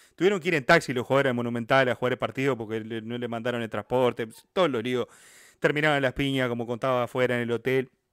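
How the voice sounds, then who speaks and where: A man with a Uruguayan accent speaks at a very fast pace with a medium pitch. His pitch variation is ordinary, and the sound is dry and close with no echo. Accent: Rioplatense Spanish (Uruguayan). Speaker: football history YouTuber. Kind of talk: casual interview chat.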